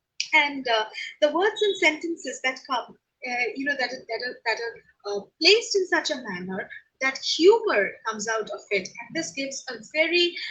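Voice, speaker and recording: In a Bengali accent, a woman projects a high, bright, sharp voice at a moderate pace, with very wide pitch swings and big swings in loudness. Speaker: professor. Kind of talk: lecture. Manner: halting, many fillers.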